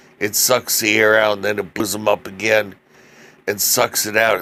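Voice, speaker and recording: This is a man speaking. His pitch is fairly low. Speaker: accident survivor. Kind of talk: personal testimony. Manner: halting, with many fillers.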